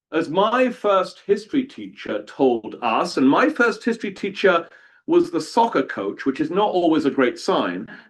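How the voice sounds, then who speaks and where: Speaking at a moderate pace with a British accent, a man's high pitch moves through very wide swings. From southern England, outside London. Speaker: historian. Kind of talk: lecture. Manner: animated.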